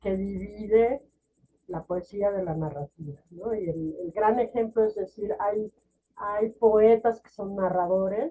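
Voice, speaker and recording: Loudness swings widely as a woman speaks at a very slow pace. Her pitch is medium with ordinary variation. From Mexico. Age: 60s. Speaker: poet and novelist. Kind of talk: interview conversation. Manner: hesitant, with many fillers and restarts.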